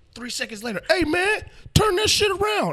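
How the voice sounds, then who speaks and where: Against noticeable background noise, a man with an American accent speaks in a raised, projected voice at a fairly quick pace, with very wide pitch swings. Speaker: rapper. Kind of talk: casual chat. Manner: joking, laid-back.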